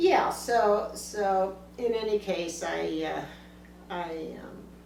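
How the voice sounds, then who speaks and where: A woman with an American accent speaks at a very slow pace, with big swings in loudness. Noticeable background noise and audible room echo fill the recording. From US West Coast, Los Angeles area. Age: 80s+. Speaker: family elder interviewed about her life. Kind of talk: family oral-history interview. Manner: halting, many fillers and restarts.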